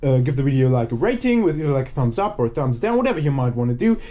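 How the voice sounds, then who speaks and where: The speaker's dark, mellow voice races along at a very fast pace with very wide pitch swings. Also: man. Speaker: scrapping video creator. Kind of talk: casual vlog narration while working.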